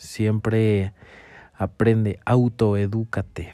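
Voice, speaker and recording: Speaking in a Mexican accent, a man has a fairly low voice with a dark, mellow tone. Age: 20s. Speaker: podcaster and motivational speaker. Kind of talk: motivational monologue.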